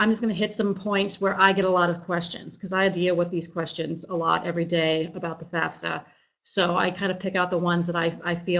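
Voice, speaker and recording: A woman talks at a very fast pace. Her fairly low voice stays monotone and flat. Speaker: financial aid coordinator. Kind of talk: webinar presentation. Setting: online live webinar.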